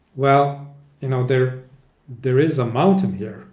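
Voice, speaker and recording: A man's voice with audible room echo. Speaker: author and flow-management consultant. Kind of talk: interview.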